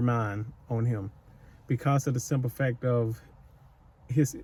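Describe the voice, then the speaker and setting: A man speaks at a very slow pace with a medium pitch and fairly even intonation. His tone is dark and mellow, and somewhat breathy. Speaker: psychic medium / channel host. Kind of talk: intuitive spirit-medium session to camera. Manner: casual, rambling, conversational.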